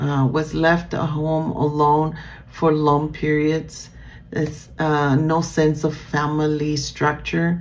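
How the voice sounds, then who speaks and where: Her pitch is very deep and low for a woman, with a Spanish accent. She speaks at a very slow pace, with audible room echo. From Nicaragua. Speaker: student. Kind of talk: class presentation. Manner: halting, many fillers.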